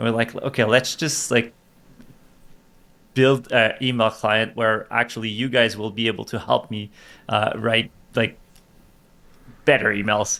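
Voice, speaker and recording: A man speaks with a French accent in a bright, sharp tone. His delivery is flat and monotone, broken by long, frequent pauses. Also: medium pitch for a man. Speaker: tech startup CEO. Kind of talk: podcast interview. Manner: halting, many repetitions.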